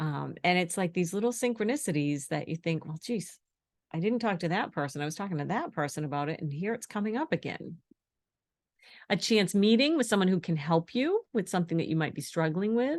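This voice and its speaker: A woman with a normal speaking voice talks at a fairly quick pace and a fairly low pitch. Her intonation is lively, and the background is quiet. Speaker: intuitive energy healing coach. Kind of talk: webinar presentation.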